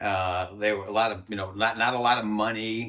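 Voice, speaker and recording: A man's fairly low voice with a bright, sharp tone against a quiet background. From Rhode Island. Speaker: former army ranger; interviewee. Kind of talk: interview storytelling. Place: home room. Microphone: lapel.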